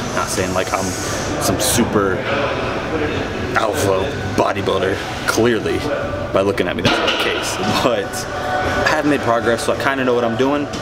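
Over loud background noise, a man talks at a moderate pace with ordinary pitch variation and long, frequent pauses. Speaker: fitness vlogger. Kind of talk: casual vlog chat. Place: gym. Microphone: phone near.

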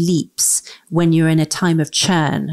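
Speaking with a London accent, a woman goes at a fairly slow pace. Her pitch is fairly low. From London, England. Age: 40s. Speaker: author and brand strategist. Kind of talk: interview conversation.

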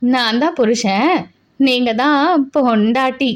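A woman puts on a character voice pitched high. She speaks very slowly. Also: very clean recording, silent background. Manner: mocking, drawn-out.

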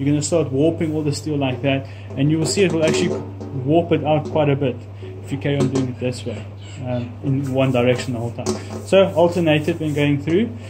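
A man talks at a fairly quick pace over clear music in the background. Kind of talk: tutorial. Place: workshop. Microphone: phone near.

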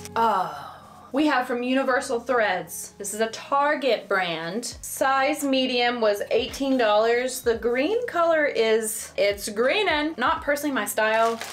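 Over light background noise, a high-pitched woman speaks at a very slow pace with ordinary pitch variation. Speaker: vlogger. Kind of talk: casual vlog chat. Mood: wry, joking. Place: bathroom.

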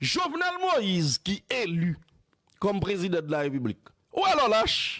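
With long, frequent pauses, a man talks at a moderate pace over a quiet background. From Haiti. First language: Haitian Creole (speaking French). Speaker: news show host. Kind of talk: political commentary. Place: studio. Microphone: studio mic.

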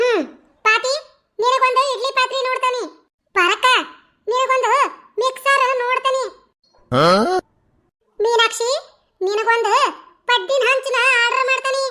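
Using a cartoonish character voice, a woman squeaks at an extremely high pitch, speaking fairly slowly with fairly even intonation.

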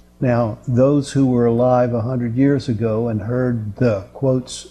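A man speaks at a fairly slow pace with fairly even intonation. His voice is somewhat breathy, with a dark, mellow tone. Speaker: preacher. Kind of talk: sermon. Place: classroom.

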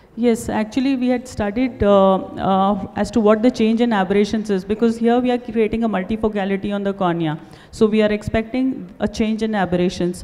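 A woman's dark, mellow voice with hardly any pauses. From India. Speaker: eye surgeon. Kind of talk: panel discussion. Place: hall. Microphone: handheld.

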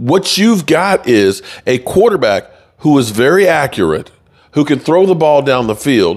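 Against a quiet background, a man's voice shows vocal fry and very wide pitch swings. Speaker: sports commentator. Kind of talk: commentary. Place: home room. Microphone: studio mic.

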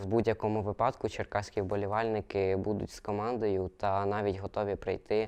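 A man speaks at a moderate pace in a fairly low, monotone, flat voice. The background is quiet. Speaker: football fan. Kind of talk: vox pop interview.

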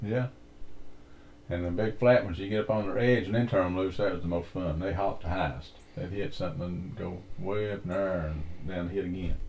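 Over light background noise, a man talks at a fairly quick pace in a very deep, somewhat breathy voice with ordinary pitch variation. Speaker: family member recalling boyhood. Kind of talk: casual storytelling. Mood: fond, amused reminiscing. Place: home room.

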